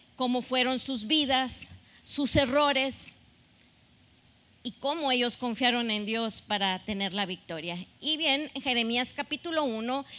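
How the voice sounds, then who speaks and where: A woman's high-pitched voice, bright and sharp in tone, moves at a fairly slow pace with ordinary pitch variation. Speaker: pastor. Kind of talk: sermon.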